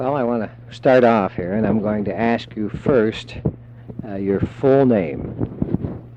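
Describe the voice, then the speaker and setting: With noticeable background noise behind him, a man of fairly low pitch speaks very slowly with ordinary pitch variation. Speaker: oral history interviewer. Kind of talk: interview questions. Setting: cassette tape recording.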